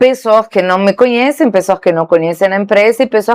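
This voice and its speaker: A woman speaks with a Spanish accent and ordinary pitch variation over a quiet background. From Argentina. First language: Spanish (speaking Portuguese). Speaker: saleswoman. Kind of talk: interview.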